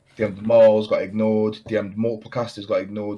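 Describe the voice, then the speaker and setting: A man with a British accent speaks at a fairly low pitch in a dark, mellow tone with monotone, flat intonation. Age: 20s. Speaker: podcast host and part-time streamer. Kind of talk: casual chat. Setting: video call.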